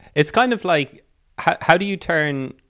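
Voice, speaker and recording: A man with an Irish accent, lively intonation and a fairly quick pace. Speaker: podcast host. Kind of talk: podcast hosting and interview. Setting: video call.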